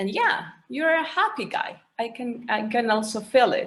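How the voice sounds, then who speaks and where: In a Spanish accent, a woman speaks at a fairly high pitch. Her pace is fairly slow, and her pitch varies in an ordinary way. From Mexico. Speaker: panelist. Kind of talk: panel discussion. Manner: hesitant.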